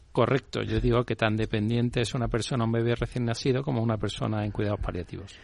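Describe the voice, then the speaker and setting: A medium-pitched male voice at a very fast pace, fairly even in intonation, with hardly any pauses and a quiet background. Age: 60s. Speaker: CEO of a caregiver training company. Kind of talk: interview.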